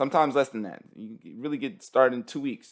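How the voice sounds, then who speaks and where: A man at a fairly quick pace, ordinary pitch variation, in a very clean recording with a silent background. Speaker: business coach selling an online course. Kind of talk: sales pitch. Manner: fast; casual, repetitive with many fillers.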